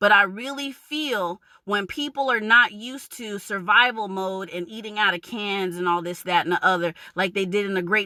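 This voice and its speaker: Bright, sharp and animated, a woman's medium-pitched voice carries a New York accent at a moderate pace. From New York, Long Island. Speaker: vlogger. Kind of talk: rant.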